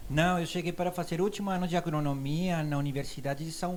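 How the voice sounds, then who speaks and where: A man with a Colombian accent talks at a fairly quick pace amid audible room echo. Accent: foreign accent in Portuguese, Colombian. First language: Spanish (speaking Portuguese). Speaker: university professor. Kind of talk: casual interview.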